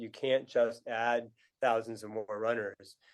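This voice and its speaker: A man with a New England accent, medium pitch and fairly even intonation. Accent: New England American. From US Northeast, New Hampshire. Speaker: author and running tour company founder. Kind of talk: podcast interview. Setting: remote call. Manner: halting, many fillers and restarts.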